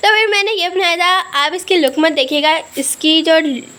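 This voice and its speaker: With an extremely high pitch, a woman talks at a moderate pace against noticeable background noise. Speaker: family vlogger. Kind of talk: vlog narration. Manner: casual chatty.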